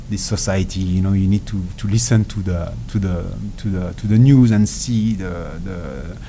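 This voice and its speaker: In a French accent, the speaker talks at a moderate pace with ordinary pitch variation, with audible room echo and noticeable background noise. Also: man, very deep, low pitch for a man. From France. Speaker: ultra endurance athlete. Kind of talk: interview. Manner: halting.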